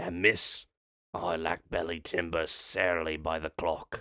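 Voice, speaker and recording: A raspy, put-on character voice is heard. The recording is very clean, with a silent background. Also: man. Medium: read story. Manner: brusque.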